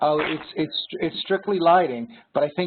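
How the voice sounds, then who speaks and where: A man is speaking. He has a New York accent. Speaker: regional sales director. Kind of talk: webinar Q&A. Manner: hesitant, many fillers.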